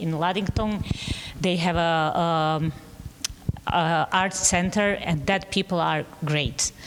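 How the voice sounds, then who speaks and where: Through noticeable background noise, a woman with a Bosnian accent speaks in a fairly low pitch with fairly even intonation. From Bosnia, Sarajevo. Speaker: painter. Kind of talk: artist talk. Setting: gallery with audience. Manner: halting.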